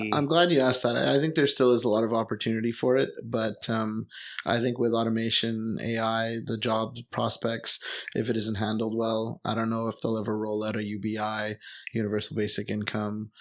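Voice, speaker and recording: Speaking fairly quickly with a Montreal accent, a man keeps his medium-pitched voice at a fairly even intonation. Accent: Canadian English (Montreal anglophone). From Montreal, Quebec, Canada (English-speaking neighborhood). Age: 30s. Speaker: expat teacher and traveler. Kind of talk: casual chat. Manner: hesitant, many fillers.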